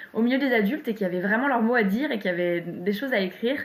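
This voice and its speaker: A woman talking at a very fast pace. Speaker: poet. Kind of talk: interview. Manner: halting.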